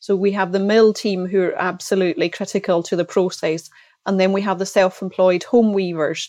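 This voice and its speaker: In a Hebridean accent, a woman talks with flat, monotone intonation at a medium pitch, her tone dark and mellow against a quiet background. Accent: Hebridean Scottish. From Outer Hebrides, Scotland (Isle of Lewis). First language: Scottish Gaelic. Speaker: textile company sales director. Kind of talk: interview.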